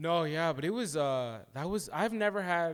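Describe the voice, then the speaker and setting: Lively intonation marks this man's fairly high-pitched speech. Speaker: podcast co-host. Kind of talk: casual chat. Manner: mumbling; halting.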